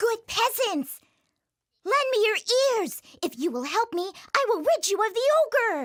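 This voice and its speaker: A cartoonish character voice speaks in an extremely high pitch at a moderate pace. Long, frequent pauses break it up. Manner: confident, sly, chuckling.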